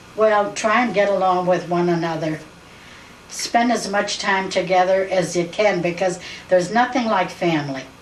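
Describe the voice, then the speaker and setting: A woman speaks at medium pitch with ordinary pitch variation and a moderate pace. Noticeable background noise and audible room echo fill the recording. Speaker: family elder interviewed for oral history. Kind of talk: oral history interview. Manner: halting.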